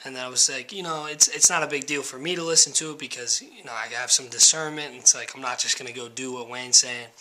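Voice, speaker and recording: The delivery is very fast with fairly even intonation over noticeable background noise. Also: man. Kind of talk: casual talk to camera.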